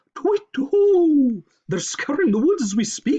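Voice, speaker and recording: A put-on character voice, high-pitched and fairly slow, with very wide pitch swings. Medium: read story. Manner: hooting.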